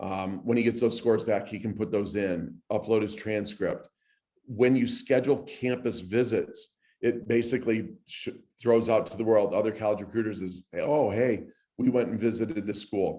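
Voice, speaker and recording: In a dark, mellow tone, a man speaks at a medium pitch with fairly even intonation. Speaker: recruiting platform presenter. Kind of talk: presentation. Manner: fast.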